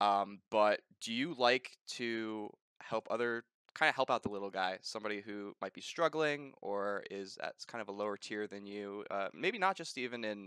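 The man's voice has a bright, sharp tone that is also clear and smooth, pitched fairly low with ordinary pitch variation. He talks at a moderate pace in a dry, close sound with no echo.

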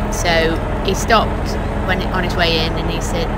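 Loud background noise in a dry sound with no echo. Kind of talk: casual vlog chat. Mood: mildly frustrated, patient. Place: car.

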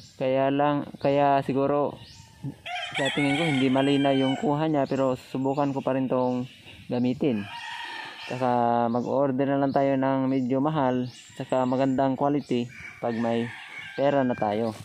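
The speech moves at a fairly slow pace. The sound is dry with no echo, over light background noise. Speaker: motovlogger. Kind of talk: casual vlog chat. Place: motorbike. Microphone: phone near.

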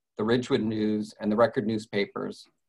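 A man at a fairly quick pace, monotone and flat in intonation, against a quiet background. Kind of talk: formal meeting opening statement. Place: home room. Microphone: video call.

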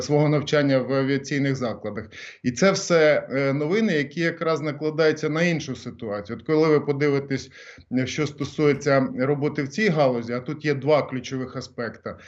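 A man with a fairly high pitch and ordinary pitch variation talks at a moderate pace. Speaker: former government minister. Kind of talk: radio interview. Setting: phone call. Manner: halting.

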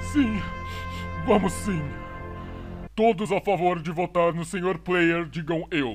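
With clear music in the background, a man speaks in a high voice at a fairly slow pace. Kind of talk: exaggerated aristocratic formality. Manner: pompous, smug, theatrical.

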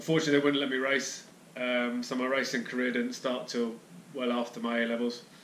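A man with a southern English accent at a medium pitch and a fairly quick pace, with light background noise and audible room echo. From Hertfordshire, England. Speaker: fitness and nutrition youtuber, amateur cyclist. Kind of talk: casual monologue to camera. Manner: halting, many fillers. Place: home room.

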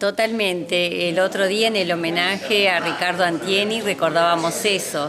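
The speech moves at a moderate pace with hardly any pauses, fairly even intonation and very even loudness, against noticeable background noise. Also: woman. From Argentina, Santa Fe (near Esperanza). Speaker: politician. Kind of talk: interview. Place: hall.

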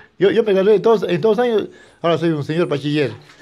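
A man speaks at a high pitch with a dark, mellow tone and ordinary pitch variation. The background is quiet. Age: 60s. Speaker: adult high school graduate; interviewee. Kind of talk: interview. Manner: halting, with many repetitions. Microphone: handheld.

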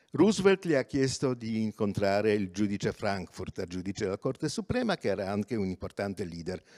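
A man talks at a fairly quick pace in a fairly low pitch with ordinary pitch variation. The background is quiet. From Poland. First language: Polish (speaking Italian). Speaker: journalist and activist; journalist. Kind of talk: lecture. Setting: theatre stage, livestreamed. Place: stage. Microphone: handheld.

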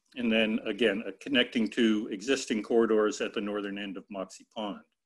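A man speaks in a plain, everyday voice at a fairly low pitch. His pace is moderate, and the background is quiet. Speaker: forest ecologist. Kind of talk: webinar presentation. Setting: video call. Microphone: video call.

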